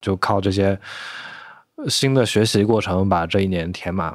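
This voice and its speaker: A man talks at a fairly low pitch with ordinary pitch variation. It is an unremarkable speaking voice in a very clean recording with a silent background. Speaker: former astronomer turned home renovator. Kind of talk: casual chat.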